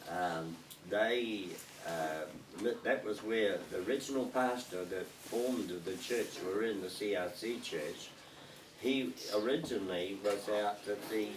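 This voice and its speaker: Audible room echo over noticeable background noise. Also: man. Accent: New Zealand. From New Zealand, Lower Hutt. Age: 80s+. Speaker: retired pastor. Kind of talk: casual life-story interview. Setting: small church group in a home. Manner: halting, many fillers.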